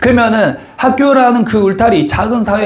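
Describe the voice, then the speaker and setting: The recording has audible room echo. A man's speech moves at a moderate pace. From Korean region with a strong dialect. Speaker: pastor. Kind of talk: sermon.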